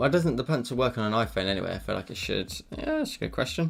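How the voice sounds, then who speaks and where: Music plays in the background. A man speaks at medium pitch. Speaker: digital art streamer. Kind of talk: live drawing tutorial with chat. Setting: live stream. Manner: casual, conversational.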